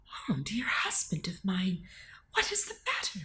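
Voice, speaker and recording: A put-on character voice, female-sounding, medium in pitch for a woman, at a moderate pace. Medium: read story.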